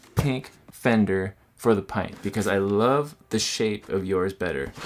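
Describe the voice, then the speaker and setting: A man talks at a very slow pace. Light background noise is present. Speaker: product reviewer. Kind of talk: casual vlog chat. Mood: enthusiastic, upbeat. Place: home room.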